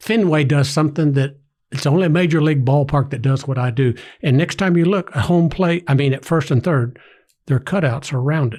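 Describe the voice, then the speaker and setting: In a very clean recording with a silent background, a man speaks at a fairly quick pace. His voice is somewhat breathy and fairly high, with ordinary pitch variation. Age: 60s. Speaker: groundskeeper and former teacher. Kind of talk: casual chat. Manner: animated.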